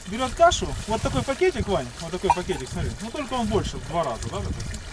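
Loud noise sits in the background. Through it, a man talks fairly quickly. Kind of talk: casual conversation. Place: forest.

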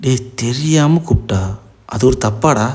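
A man puts on a character voice that sounds strained. He goes at a fairly slow pace in a medium pitch. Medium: read story. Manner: calm, restrained.

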